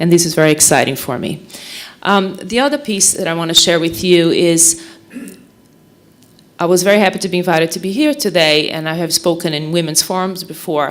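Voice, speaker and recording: A woman with a Portuguese accent, fairly low-pitched, at a fairly quick pace with ordinary pitch variation, over noticeable background noise. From Brazil. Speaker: mental health nonprofit director. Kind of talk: speech at a forum.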